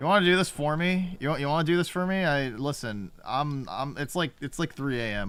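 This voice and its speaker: A man talking at a fairly slow pace. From Korean heritage. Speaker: video game streamer. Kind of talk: live game stream commentary. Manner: halting, repetitive filler.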